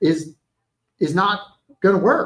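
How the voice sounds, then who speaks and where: A man speaks in a high voice. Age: 60s. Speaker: realtor and live-stream host. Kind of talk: casual interview chat. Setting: live stream from a restaurant. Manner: halting, many repeated words.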